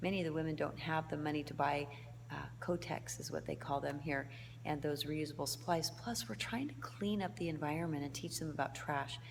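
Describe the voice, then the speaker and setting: Soft-spoken, a woman with an American accent talks at a fairly quick pace with audible room echo. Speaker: humanitarian volunteer. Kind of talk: video diary. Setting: indoors in a foyer at night.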